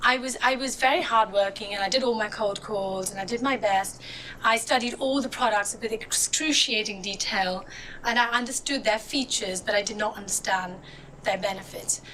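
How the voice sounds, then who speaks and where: Moderate pacing and ordinary pitch variation amid noticeable background noise. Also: woman, fairly high pitch for a woman. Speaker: motivational speaker. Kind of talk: inspirational talk. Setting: stage with audience.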